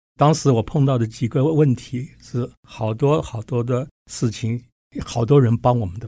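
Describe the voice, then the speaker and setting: Recorded very clean with a silent background, a man speaks at a fairly slow pace in a medium-pitched, dark, mellow, somewhat breathy voice with ordinary pitch variation and big swings in loudness. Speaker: physics professor. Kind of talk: interview.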